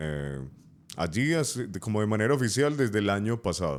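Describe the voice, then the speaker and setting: A man is speaking. His pace is moderate. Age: 30s. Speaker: radio announcer and youth pastor. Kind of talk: interview answer.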